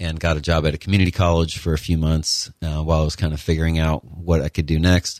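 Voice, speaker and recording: A man with an American accent talks at a fairly quick pace in a very deep, low pitch. His intonation is monotone and flat, and the recording is very clean with a silent background. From Connecticut. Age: 40s. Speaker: newspaper owner and journalist. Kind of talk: interview. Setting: studio. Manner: hesitant.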